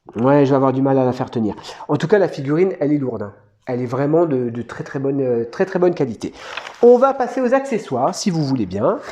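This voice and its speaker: Over noticeable background noise, a man speaks at a very fast pace, his fairly high pitch moving with lively intonation. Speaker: toy collector youtuber. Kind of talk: unboxing review. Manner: casual, hesitant.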